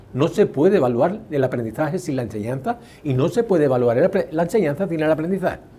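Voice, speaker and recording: Very fast delivery from a man with a fairly high-pitched voice. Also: lively intonation. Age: 70s. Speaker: educational psychologist and test author. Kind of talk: interview.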